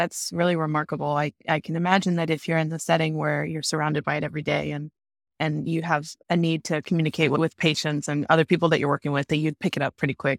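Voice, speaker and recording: Talking very fast, a woman with a very deep, low pitch and vocal fry keeps a monotone, flat delivery on a very clean recording with a silent background. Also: dry, close sound with no echo. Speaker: medical student podcast host. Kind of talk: interview questions.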